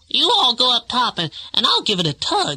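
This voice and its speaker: A put-on character voice, female-sounding and high-pitched, with very wide swings in pitch. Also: moderate pace. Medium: read story.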